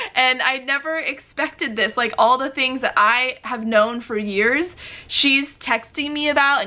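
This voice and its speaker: A raised, projected voice with ordinary pitch variation. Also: woman. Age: 30s. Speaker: YouTuber. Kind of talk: casual chat. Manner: animated.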